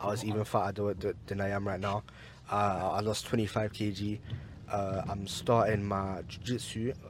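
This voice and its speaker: A man with a London accent speaks at a fairly slow pace. His fairly low voice stays monotone and flat. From East London. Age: young. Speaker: university student. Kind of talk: casual chat. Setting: in a car.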